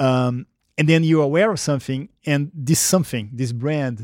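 In a Brazilian accent, a man talks at a moderate pace and a fairly high pitch with ordinary pitch variation, the sound dry and close with no echo on a very clean recording with a silent background. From Brazil, Rio de Janeiro. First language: Portuguese. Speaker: marketing executive. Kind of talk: interview. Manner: hesitant, many fillers.

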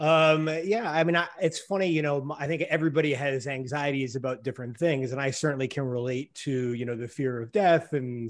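At a moderate pace and medium pitch, a man talks in a normal speaking voice with ordinary pitch variation against a quiet background. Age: 40s. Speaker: sports journalist. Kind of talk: casual chat.

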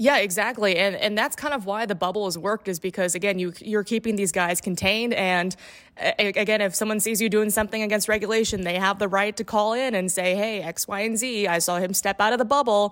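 In an American accent, a woman speaks at medium pitch with fairly even intonation. She goes at a very fast pace with hardly any pauses. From Indiana. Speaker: sports reporter. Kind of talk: casual chat. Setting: video call.

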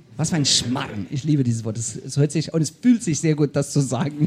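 A man speaks at a moderate pace with a fairly high pitch. His voice is somewhat breathy. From South Africa. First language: English (speaking German). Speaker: podcast host. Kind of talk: live podcast conversation. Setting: stage with audience.

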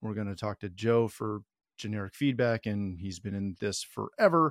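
An unremarkable speaking voice from a man, fairly low in pitch, at a fairly quick pace, with a dry, close sound with no echo and a very clean recording over a silent background. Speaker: podcast host. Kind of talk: panel discussion, casual interview.

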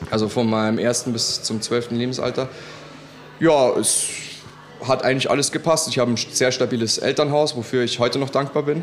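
A man talks at a fairly quick pace, his medium pitch held in a fairly even intonation. Noticeable background noise runs underneath. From Munich, Bavaria. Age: 30s. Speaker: DJ and music producer. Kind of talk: casual interview. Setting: restaurant.

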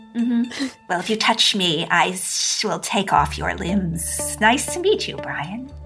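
Over clear background music, a woman with a medium-pitched voice performs a put-on character voice at a fairly slow pace. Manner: blunt, menacing threats.

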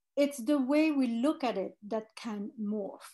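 Against a quiet background, a woman with a French accent speaks at a high pitch with ordinary pitch variation. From France. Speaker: fragrance executive. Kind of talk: interview.

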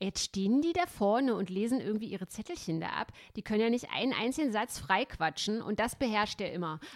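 A woman with a plain, everyday voice speaks at a fairly quick pace. Her pitch sits fairly high, and her intonation is lively. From East Germany. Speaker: podcast host and columnist. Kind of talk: casual chat.

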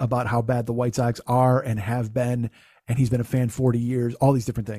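Speaking at a fairly quick pace, a man with a Chicago accent has a medium pitch and a dark, mellow tone on a very clean recording with a silent background. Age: 50s. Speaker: podcast host. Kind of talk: casual chat.

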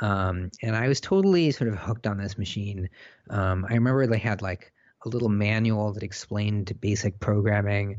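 A man with an unremarkable speaking voice, fairly low in pitch, with fairly even intonation, at a moderate pace, in a General American accent. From South Africa, raised in Southern California from age nine. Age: 30s. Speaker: technology columnist. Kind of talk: interview.

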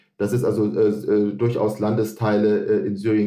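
A man's fairly low pitch and dark, mellow tone at a fairly slow pace. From half Lebanese, German. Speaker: foundation regional expert. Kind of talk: interview. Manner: halting, many fillers.

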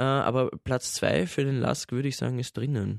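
A man's medium-pitched voice, with a dry, close sound, no echo and a quiet background. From Austria. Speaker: radio listener service staff, football fan. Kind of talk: casual chat.

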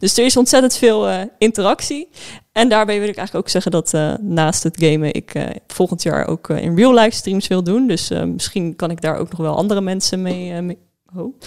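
Medium pitch, a moderate pace and ordinary pitch variation from a woman with a normal speaking voice. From Netherlands, Spijkenisse (Rotterdam area). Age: 20s. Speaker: livestreamer and student. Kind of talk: casual chat.

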